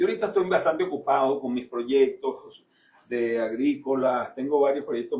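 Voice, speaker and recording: A man talking at a fairly quick pace. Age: 60s. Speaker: businessman and former minister. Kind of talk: radio interview.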